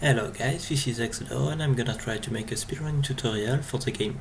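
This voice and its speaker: With a French accent, a man speaks at a fairly quick pace and medium pitch amid noticeable background noise and audible room echo. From France. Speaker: speedrunner, gaming tutorial maker. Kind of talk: tutorial. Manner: halting, with fillers.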